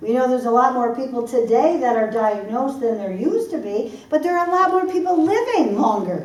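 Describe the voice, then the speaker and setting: With audible room echo, a woman speaks in a Michigan accent, her high voice animated and swinging very widely in pitch. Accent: Michigan American. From US Midwest, Michigan (Detroit area). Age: 60s. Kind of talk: seminar talk.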